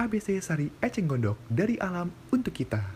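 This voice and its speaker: A man talks in a somewhat breathy voice with a dark, mellow tone. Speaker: university student. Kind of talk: casual student podcast with voice-over practice. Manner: fast.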